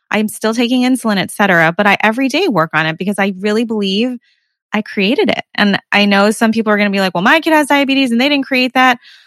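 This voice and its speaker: Dry and close with no echo, the recording holds a woman's normal speaking voice, fairly high in pitch, with lively intonation and very even loudness. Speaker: podcast host. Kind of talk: casual interview conversation.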